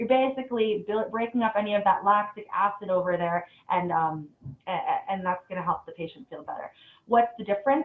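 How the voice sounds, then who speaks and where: Speaking at a medium pitch, a woman shows ordinary pitch variation but big swings in loudness. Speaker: dentist. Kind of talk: webinar lecture. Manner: fast; casual, many fillers.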